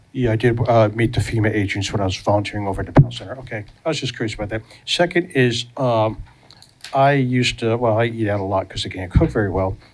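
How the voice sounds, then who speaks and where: A man at a very fast pace, medium in pitch with ordinary variation, over noticeable background noise. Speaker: resident speaking at public comment. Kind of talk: public comment at council meeting. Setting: council meeting. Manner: loud; halting, many fillers.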